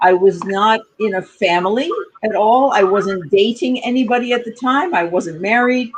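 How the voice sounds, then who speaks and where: Her pitch fairly high and her intonation lively, a woman with an American accent uses a normal speaking voice at a moderate pace. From United States. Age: 60s. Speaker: communication coach. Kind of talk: interview.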